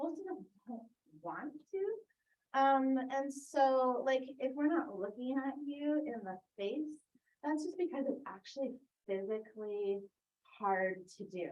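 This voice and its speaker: A loud woman's voice, high-pitched, very slow, with very wide pitch swings. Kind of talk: talk at a church adult forum.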